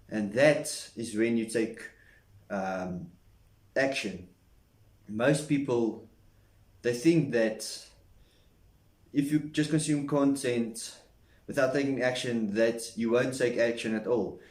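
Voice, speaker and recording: Pausing long and often, a man talks very slowly at a medium pitch in a room with audible echo. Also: ordinary pitch variation. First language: not English. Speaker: self-improvement vlogger. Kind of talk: casual talking-head monologue. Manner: halting.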